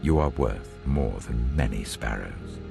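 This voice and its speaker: Music plays in the background. Over it, a man speaks with a very deep, low voice. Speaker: narrator. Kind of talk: Bible reading.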